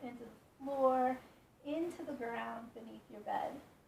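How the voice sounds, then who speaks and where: Over noticeable background noise and audible room echo, a woman speaks calmly and fairly slowly at a high pitch. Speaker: yoga instructor. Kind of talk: guided yoga instruction. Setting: in bed at home. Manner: calm, slow.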